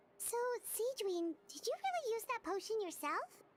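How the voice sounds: A woman's put-on character voice, squeaky and extremely high-pitched, with lively intonation at a moderate pace.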